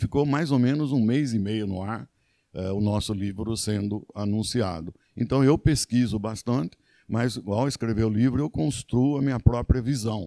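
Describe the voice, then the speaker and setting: Medium in pitch, with ordinary pitch variation and a dark, mellow tone, a man talks at a moderate pace in a very clean, silent-background recording that sounds dry and close with no echo. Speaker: former mayor and history professor. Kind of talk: interview. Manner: halting.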